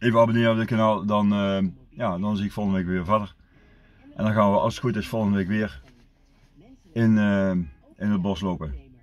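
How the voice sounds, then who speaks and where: Fairly low in pitch, a man talks at a moderate pace. His pitch variation is ordinary. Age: 50s. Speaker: vlogger. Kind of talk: casual vlog monologue. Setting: outdoors in the woods. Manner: halting, many fillers and repetitions. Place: car. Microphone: phone near.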